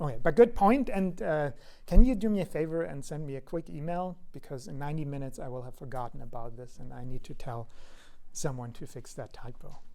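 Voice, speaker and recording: With audible room echo, a man at a fairly high pitch talks at a fairly quick pace, with lively intonation and big swings in loudness. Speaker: university lecturer. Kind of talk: lecture. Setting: lecture hall. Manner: fast; hesitant with fillers.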